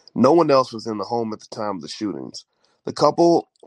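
A man with a fairly low pitch is heard in a dry, close sound with no echo.

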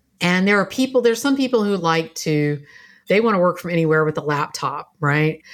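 A woman with an ordinary speaking voice speaks at a fairly quick pace, fairly low in pitch, with lively intonation. The recording is very clean, with a silent background. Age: 50s. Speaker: business coach and former lawyer. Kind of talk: interview.

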